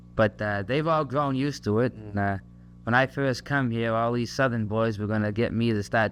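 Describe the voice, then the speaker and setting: Talking at a fairly quick pace, a man has a Massachusetts accent. His medium-pitched voice has fairly even intonation. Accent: Massachusetts, Kennedy-like. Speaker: soldier. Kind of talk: recorded message to a family. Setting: home tape recording on an army post. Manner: hesitant, many fillers.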